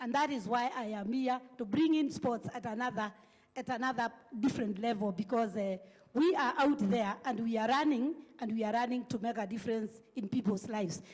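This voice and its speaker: Over noticeable background noise, a woman speaks fairly quickly in a fairly high voice with ordinary pitch variation. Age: 60s. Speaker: recreational marathon runner, panelist. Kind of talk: panel discussion. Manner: halting, repeats words.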